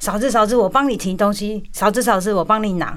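Here is an ordinary speaking voice. A woman speaks at a fairly quick pace in a medium pitch with ordinary pitch variation. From India, Kolkata Chinese community. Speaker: restaurant owner. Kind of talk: radio interview.

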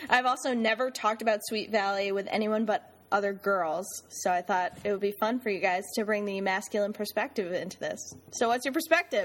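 Using a normal speaking voice, a woman talks at a fairly quick pace with hardly any pauses, her medium pitch showing ordinary variation. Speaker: co-host essayist and radio personality. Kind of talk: casual banter podcast chat.

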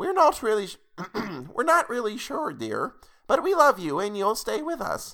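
A put-on character voice with a fairly high pitch speaks at a fairly slow pace with long, frequent pauses. The recording is very clean, with a silent background.

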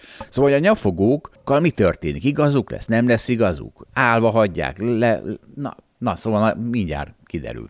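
Very wide pitch swings at a moderate pace. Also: man, medium pitch for a man. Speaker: financial analyst and podcast host. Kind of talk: casual chat.

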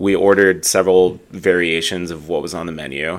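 An animated man with an American accent and a very deep, low voice, on a very clean recording with a silent background. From US Midwest. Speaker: airline pilot. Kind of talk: casual podcast chat. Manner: animated, joking.

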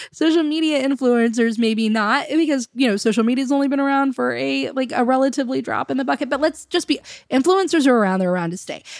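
A woman with a high pitch rushes along at a very fast pace, with hardly any pauses and ordinary pitch variation. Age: 30s. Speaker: podcast host and business coach. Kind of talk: casual interview chat. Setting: recording at the guest's house.

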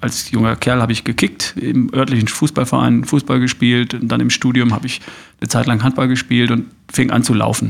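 Vocal fry at a moderate pace. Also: man. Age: 50s. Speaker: podcaster and coach. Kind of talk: interview. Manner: hesitant fillers.

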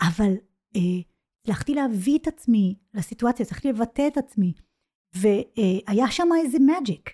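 A woman speaks at a fairly slow pace in a fairly high voice with a dark, mellow tone. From Israel, child of English-speaking parents. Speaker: business English coach. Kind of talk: casual interview. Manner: halting, many false starts.

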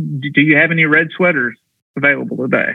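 A man speaking at a moderate pace. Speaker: golf mental coach and former firefighter. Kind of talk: casual interview conversation. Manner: halting, filler-heavy, repeats words.

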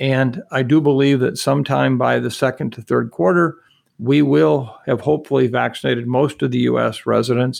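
Against a quiet background, a man keeps a moderate pace. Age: 60s. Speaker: infectious disease expert. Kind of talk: interview.

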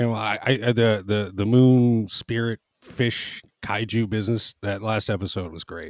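A man talks with a normal speaking voice at a moderate pace. His pitch is fairly low and his intonation fairly even. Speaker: podcast guest. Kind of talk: casual chat.

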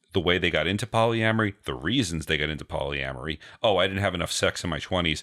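With an American accent, a man talks very fast in a very deep, low voice that has a bright, sharp tone, vocal fry and lively intonation. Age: 40s. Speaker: podcast co-host.

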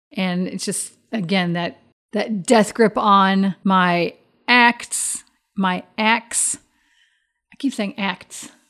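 A woman's medium-pitched voice with an American accent, very slow with long, frequent pauses and ordinary pitch variation, in a very clean recording with a silent background. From US Midwest, Chicago area. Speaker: tabletop game podcast player. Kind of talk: casual chat.

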